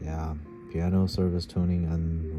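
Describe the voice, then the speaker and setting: Over music in the background, a man speaks at a fairly slow pace with a very deep, low pitch and monotone, flat intonation. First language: not English. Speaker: piano hobbyist. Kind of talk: casual talk to camera. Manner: halting, awkward.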